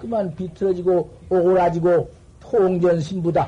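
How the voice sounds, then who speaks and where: High pitch from a man, with fairly even intonation. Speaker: Buddhist Zen master monk. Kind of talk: dharma talk sermon. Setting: temple dharma hall with assembly.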